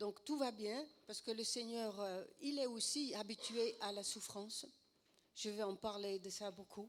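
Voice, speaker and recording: A woman with a slight Dutch accent, fairly high in pitch with ordinary pitch variation, at a fairly slow pace. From Netherlands. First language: Dutch (speaking French). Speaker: preacher, former actress. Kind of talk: sermon.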